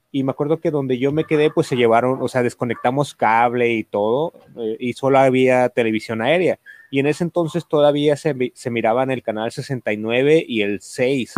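This man talks at a moderate pace with ordinary pitch variation. He has a normal speaking voice at a medium pitch for a man. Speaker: stand-up comedian and workshop teacher. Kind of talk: casual chat.

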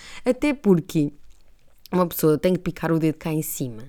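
Speaking at a moderate pace, a woman with a European Portuguese accent has a fairly low pitch, a dark, mellow tone and ordinary pitch variation. The recording is very clean, with a silent background. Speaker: podcast host. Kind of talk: casual monologue. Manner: animated.

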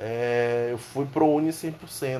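A man talks in a normal speaking voice at a medium pitch. His pitch variation is ordinary. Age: 20s. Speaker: comedian. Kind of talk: casual monologue. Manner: casual slangy.

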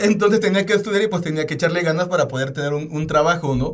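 With a Mexican accent, a man speaks at a very fast pace in a high voice with ordinary pitch variation, and audible room echo is present. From Oaxaca, Mexico. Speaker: podcast co-host. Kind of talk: casual chat.

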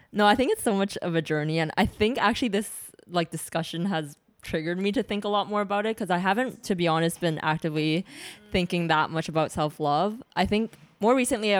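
With music playing in the background, a woman talks very fast in a Canadian accent, her pitch varying in an ordinary way. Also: medium pitch for a woman. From Toronto, Canada. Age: 20s. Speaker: podcast guest. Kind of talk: casual chat.

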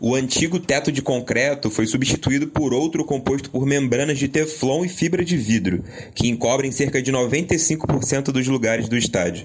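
The voice runs at a moderate pace with hardly any pauses, ordinary pitch variation and very even loudness, while noticeable background noise is present. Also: man, medium pitch for a man. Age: 20s. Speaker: podcast host. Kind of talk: scripted narration.

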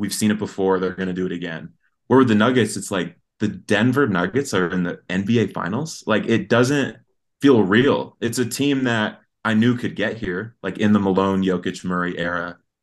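A man speaks with an American accent in an unremarkable speaking voice. His pitch sits fairly low. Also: ordinary pitch variation, moderate pace. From Colorado, US. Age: 20s. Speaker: sports fan guest. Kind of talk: casual chat.

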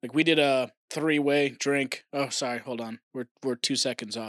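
A man with an American accent and a medium pitch speaks at a moderate pace in a plain, everyday voice, the sound dry and close with no echo. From Oklahoma. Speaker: podcast co-host. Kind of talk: casual chat. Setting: remote recording from home.

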